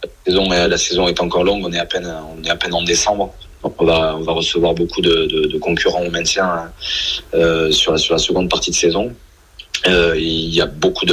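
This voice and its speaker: A man keeps a moderate pace as noticeable background noise sounds behind him. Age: 20s. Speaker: professional rugby player. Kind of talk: radio interview. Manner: halting.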